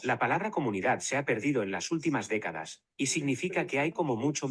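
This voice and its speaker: A man with a fairly high pitch and vocal fry talks at a fairly quick pace, his pitch swinging very widely. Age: 80s+. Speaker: family therapist. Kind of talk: conference presentation.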